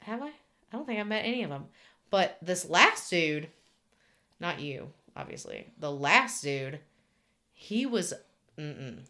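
With a Southern US accent, a woman speaks at a medium pitch in a bright, sharp tone, her pitch swinging very widely. She moves at a fairly slow pace with long, frequent pauses. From Alabama, US South. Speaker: podcast co-host. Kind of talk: casual chat.

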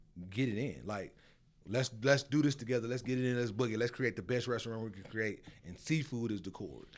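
Speaking fairly quickly with a Memphis accent, a man uses a medium pitch and ordinary pitch variation. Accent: Southern US (Memphis). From US South, Memphis. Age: 40s. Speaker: chef and restaurateur. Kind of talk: casual chat.

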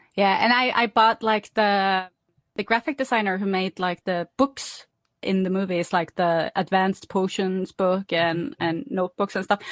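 The speaker uses a Norwegian accent at a moderate pace with ordinary pitch variation. The background is quiet and the sound is dry and close, with no echo. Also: woman, medium pitch for a woman. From Norway. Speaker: podcast host. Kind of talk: casual chat.

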